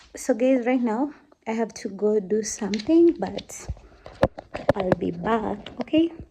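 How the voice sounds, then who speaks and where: Over noticeable background noise, a woman with a fairly high pitch speaks with lively intonation and long, frequent pauses. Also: fairly slow pace. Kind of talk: casual vlog talk.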